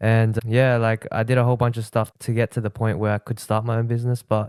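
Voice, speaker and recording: A man speaking in an Australian accent goes at a very fast pace. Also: dry, close sound with no echo, very clean recording, silent background. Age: 19. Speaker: social media marketing entrepreneur. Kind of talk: casual podcast interview.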